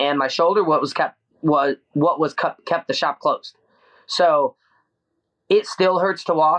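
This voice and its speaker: The speaker is a man with an American accent. He keeps a moderate pace. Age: 30s. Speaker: screen print shop owner. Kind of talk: casual interview.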